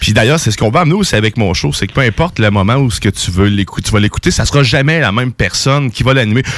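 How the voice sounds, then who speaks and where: Hardly pausing, a man rattles on at a very fast pace with lively intonation and very even loudness. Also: medium pitch for a man. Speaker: show creator. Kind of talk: casual chat.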